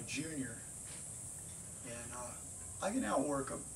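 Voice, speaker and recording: With audible room echo, a man talks in a fairly high pitch and lively intonation. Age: 60s. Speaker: competition shooter. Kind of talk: audition monologue.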